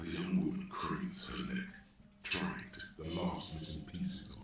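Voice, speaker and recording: A man at a moderate pace with slight echo and clear background noise. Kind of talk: literary game narration. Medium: game stream. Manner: measured, observational.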